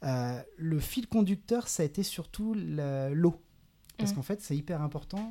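A man's voice has a dark, mellow tone and is somewhat breathy. His intonation is lively. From western France, Saint-Nazaire (Loire-Atlantique). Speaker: environmental NGO project manager. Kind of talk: casual interview. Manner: hesitant, many fillers.

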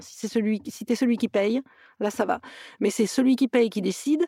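A woman talks at a moderate pace with a fairly high pitch, a dark, mellow tone and ordinary pitch variation. The sound is dry and close, with no echo. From southern France, Toulouse area. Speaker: actress and producer. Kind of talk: interview. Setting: remote call.

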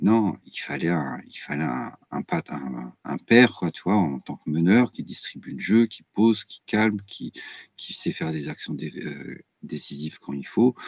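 A very deep, low-pitched male voice with vocal fry, very wide pitch swings and big swings in loudness, at a fairly slow pace, in a dry, close sound with no echo. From Brittany, France. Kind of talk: casual chat.

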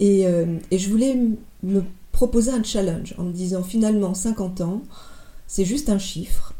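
Speaking at a fairly slow pace with long, frequent pauses, a woman has a somewhat breathy, dark, mellow tone, a medium pitch and ordinary pitch variation. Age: 50s. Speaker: former business executive, marathon runner. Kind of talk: interview testimony. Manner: halting.

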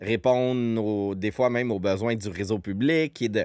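A man talks with a Quebec accent. His pitch is medium. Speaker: podcast host, community organization director. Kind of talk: casual chat.

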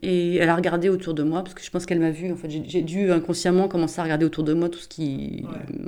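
Rushing along at a very fast pace with hardly any pauses, a woman with a fairly low pitch keeps her intonation fairly even while her loudness swings widely. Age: 40s. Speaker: social worker and author. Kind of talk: casual interview conversation.

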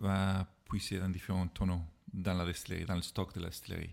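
A man is speaking. His pitch is very deep and low. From Ireland. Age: 40s. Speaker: whisky expert. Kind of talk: casual chat. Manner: halting.

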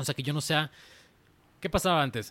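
Lively in intonation and fairly high in pitch, a man speaks on a very clean recording with a silent background. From Mexico, Guadalajara/Zapopan, Jalisco. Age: 30s. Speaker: design studio founder. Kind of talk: casual interview. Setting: in his office garden.

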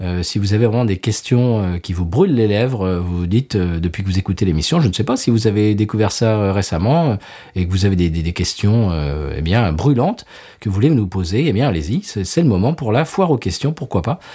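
Over a silent background in a very clean recording, a man talks at a fairly quick pace, his fairly low voice dark and mellow with lively intonation. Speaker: podcast co-host, beer reviewer. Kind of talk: casual chat. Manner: animated.

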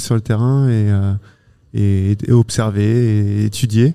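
On a very clean recording with a silent background, a man speaks at a medium pitch in a dark, mellow tone with fairly even intonation. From Normandy, France. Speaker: entomologist and author. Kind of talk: interview. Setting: mobile studio at a festival. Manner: halting, many repetitions and hesitations.

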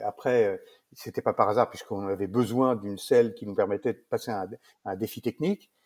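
A man speaks at a fairly quick pace in a fairly low voice, keeping his intonation fairly even. His loudness swings widely, and the sound is dry and close with no echo. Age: 60s. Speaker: saddlery business owner. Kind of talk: interview. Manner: hesitant, many fillers.

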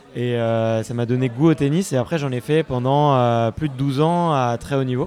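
A man with a normal speaking voice, medium pitch, fairly even intonation and a fairly slow pace. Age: 20s. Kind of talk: casual vox-pop interview. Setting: live event among the public.

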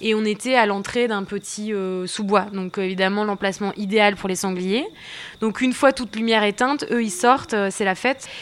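A woman speaks at a moderate pace with a fairly high pitch. Her intonation stays fairly even. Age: 20s. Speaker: long-distance hiker. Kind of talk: personal testimony. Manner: hesitant, many fillers.

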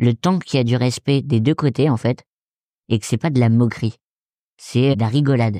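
Dry and close with no echo, this very clean recording over a silent background carries a dark, mellow tone, ordinary pitch variation and a moderate pace. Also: man. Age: 20s. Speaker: stand-up comedian. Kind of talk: casual chat.

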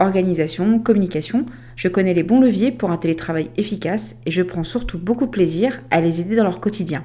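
In a normal speaking voice, the talk moves at a fairly quick pace with lively intonation. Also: woman. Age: 40s. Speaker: podcast host, remote work consultant. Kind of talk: scripted monologue.

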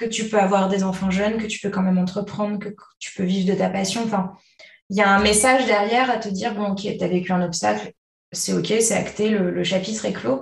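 Medium-pitched female speech, somewhat breathy, moderately paced and with fairly even intonation. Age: 20s. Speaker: hypnotherapist, mother of two. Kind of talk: personal testimony in interview.

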